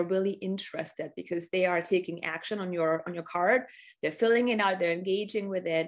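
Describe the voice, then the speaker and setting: A woman with a German accent speaks in an enthusiastic tone at a medium pitch. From Germany. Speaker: business strategy coach. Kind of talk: customer testimonial on a live webinar. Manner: enthusiastic, with many fillers and repeated words.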